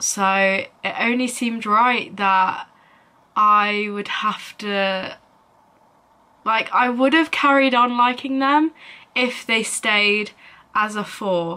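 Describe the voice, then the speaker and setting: A woman speaks at a very slow pace with long, frequent pauses. Her tone is bright and sharp. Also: ordinary pitch variation. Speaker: vlogger. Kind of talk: casual vlog chat. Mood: reflective, slightly wistful. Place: home room. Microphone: phone near.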